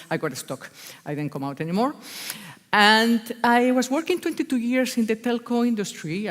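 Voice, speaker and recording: Her intonation is lively. The woman speaks with a Spanish accent. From Spain, Basque Country. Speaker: agile consultant. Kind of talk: conference talk. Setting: stage with audience. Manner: animated.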